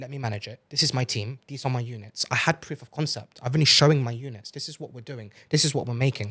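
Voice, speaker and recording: A man with a British accent talks at a very fast clip in a medium pitch, his loudness swinging widely while his intonation stays fairly even and he hardly pauses at all. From UK. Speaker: entrepreneur. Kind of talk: podcast interview.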